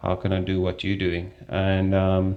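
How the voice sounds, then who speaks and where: Over a quiet background, a man with a very deep, low pitch speaks at a moderate pace in a South African accent. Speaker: strength and conditioning coach. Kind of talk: interview.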